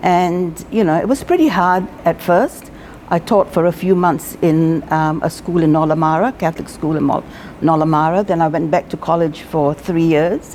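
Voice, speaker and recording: Over noticeable background noise, a woman with a fairly low pitch talks at a moderate pace, her loudness very even and her pitch varying in an ordinary way. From Singapore. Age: 70s. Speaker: retired teacher. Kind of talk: interview.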